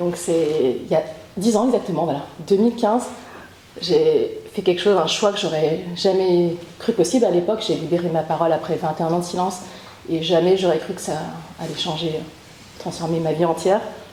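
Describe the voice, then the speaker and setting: A woman with a fairly low pitch speaks at a moderate pace with ordinary pitch variation and long, frequent pauses, while noticeable background noise runs underneath. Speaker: author and podcaster, trauma survivor. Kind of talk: interview testimony. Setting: training session with group. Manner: hesitant, many fillers.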